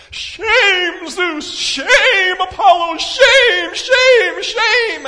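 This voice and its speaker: A put-on character voice at an extremely high pitch, delivered at a very slow pace. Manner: yelling, scolding.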